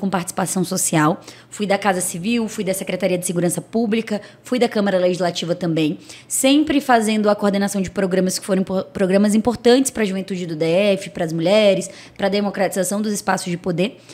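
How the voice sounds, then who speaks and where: Ordinary pitch variation colors a woman's fairly quick speech. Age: 30s. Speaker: political candidate; candidate. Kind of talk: interview. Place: studio. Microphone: studio mic.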